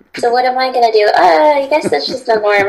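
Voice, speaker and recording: Over noticeable background noise, a woman with an American accent talks at a fairly quick pace. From Connecticut, US. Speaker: holistic lifestyle coach. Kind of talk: interview. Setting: video call.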